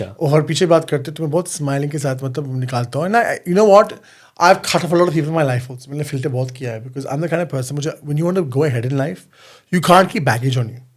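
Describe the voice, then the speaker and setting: His voice is somewhat breathy and fairly high-pitched. The man's pitch varies in an ordinary way. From London, UK. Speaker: reality TV contestant and model. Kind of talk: podcast interview answer. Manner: code-switching between Hindi and English.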